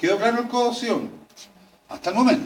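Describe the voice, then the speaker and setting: In a Chilean accent, this voice moves at a fairly quick pace with audible room echo around it. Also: man. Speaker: veterinary anatomy lecturer. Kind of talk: lecture. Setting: classroom with students. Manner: fast; animated.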